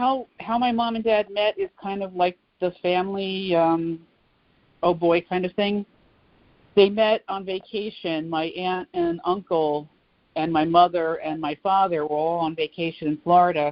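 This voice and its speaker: Speaking fairly slowly with an American accent, a woman has a normal speaking voice, a fairly low pitch and ordinary pitch variation. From New Jersey, Old Bridge. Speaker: oral history interviewee. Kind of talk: interview.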